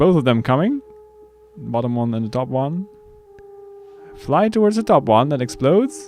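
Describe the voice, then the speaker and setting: A man's medium-pitched voice at a moderate pace, with very wide pitch swings, long, frequent pauses and noticeable background noise. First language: Dutch. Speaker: gaming streamer. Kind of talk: live gameplay commentary. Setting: live stream.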